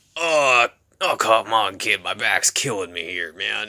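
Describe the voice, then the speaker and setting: Raspy and fairly low, a man's put-on character voice goes at a fairly slow pace on a very clean recording with a silent background. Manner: weary, complaining.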